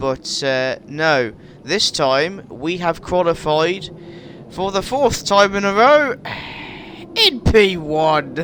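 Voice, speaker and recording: A man's high voice with lively intonation at a very slow pace, long, frequent pauses and noticeable background noise. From West Midlands, England. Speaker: gaming YouTuber. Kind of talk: gameplay commentary. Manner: animated.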